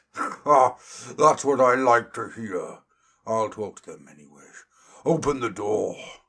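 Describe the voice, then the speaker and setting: Putting on a character voice, a man speaks at a medium pitch and fairly slow pace. He leaves long, frequent pauses. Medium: read story.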